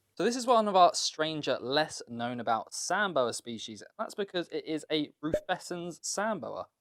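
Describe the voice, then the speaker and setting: This man has a British accent and a high pitch with very wide pitch swings. He speaks at a moderate pace. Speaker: reptile keeper and breeder. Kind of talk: casual presentation, room tour.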